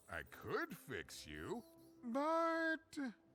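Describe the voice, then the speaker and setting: Over faint background music, someone puts on a high-pitched character voice. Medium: video game. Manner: chatty, self-deprecating, laughs often.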